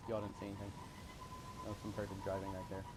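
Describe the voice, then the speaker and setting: A quiet, somewhat breathy man speaks with a fairly low pitch. Audible room echo surrounds his voice. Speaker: gaming YouTuber. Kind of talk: let's play commentary. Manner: halting.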